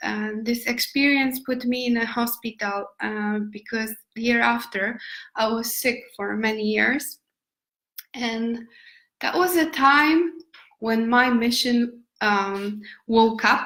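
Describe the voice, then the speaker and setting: A woman's fairly high-pitched voice, bright and sharp in tone, with ordinary pitch variation and a very slow pace. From Poland. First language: Polish. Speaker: nomad lifestyle vlogger. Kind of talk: live stream talk. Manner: halting.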